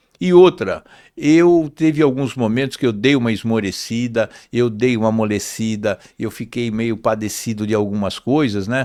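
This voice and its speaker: With a dark, mellow tone, a man speaks at a medium pitch and moderate pace, with ordinary pitch variation, in a very clean recording with a silent background. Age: 60s. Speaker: business owner, metalworks CEO. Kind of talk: interview conversation.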